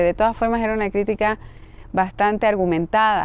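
A woman, with a dry sound and no echo. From Bolivia. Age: 30s. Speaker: poet; interviewee. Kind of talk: interview. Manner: halting. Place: garden. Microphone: lapel.

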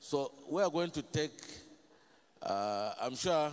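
A man speaks at a fairly slow pace in a slightly mellow tone.

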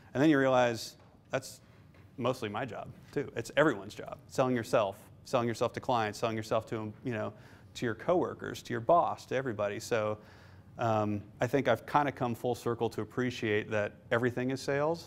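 Faint music plays behind a man with an American accent. He talks at a fairly quick pace with fairly even intonation. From Nebraska, Omaha; Nebraska. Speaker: investment fund manager; guest. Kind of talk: lecture. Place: classroom.

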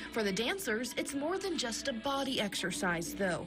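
A woman is talking. Music can be heard behind her. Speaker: TV news reporter. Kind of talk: local TV news report.

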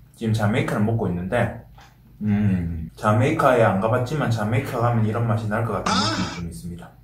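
A fairly quick delivery with ordinary pitch variation, audible room echo and light background noise. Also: man. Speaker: food vlogger. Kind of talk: casual mukbang chat. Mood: relaxed, friendly. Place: home room.

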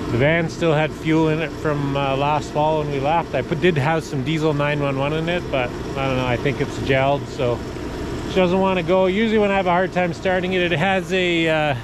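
With noticeable background noise, a man talks at a moderate pace and with ordinary pitch variation in a dry sound with no echo. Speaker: off-grid vlogger. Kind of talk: casual vlog chat. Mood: calm, matter-of-fact. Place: street. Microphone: phone near.

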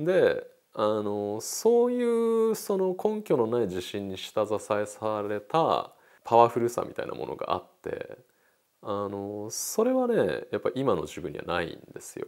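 The speaker talks at a fairly slow pace with big swings in loudness. The background is quiet. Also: man. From Tokyo, Japan. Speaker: painter; interviewee. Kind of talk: interview. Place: studio. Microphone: lapel.

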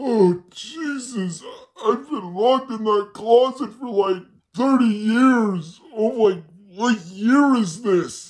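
A put-on character voice at a fairly high pitch moves at a very slow pace. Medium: toy film. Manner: grumpy, disoriented.

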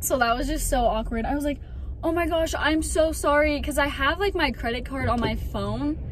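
A woman at a moderate pace, dry sound with no echo and noticeable background noise. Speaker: vlogger. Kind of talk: casual vlog chat. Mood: embarrassed, animated. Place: car. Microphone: phone near.

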